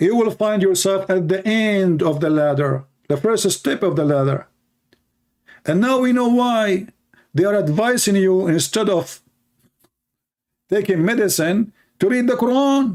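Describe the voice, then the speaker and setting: At a fairly slow pace, a man with a high pitch and lively intonation keeps his loudness very even while taking long, frequent pauses. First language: not English. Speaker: religion critic streamer. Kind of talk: live stream commentary. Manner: sarcastic, animated.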